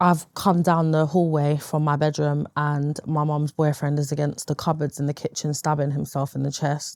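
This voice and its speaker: A woman with a London accent has a very deep, low pitch and a moderate pace. The sound is dry and close, with no echo. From East London, England. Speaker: interview guest sharing life story. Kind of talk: interview testimony. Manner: hesitant, frequent fillers.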